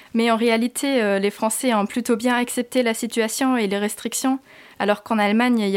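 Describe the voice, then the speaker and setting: A woman talks in a fairly high, monotone voice with flat intonation. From Germany. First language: German (speaking French). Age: 20s. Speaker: student, former au pair. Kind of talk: interview.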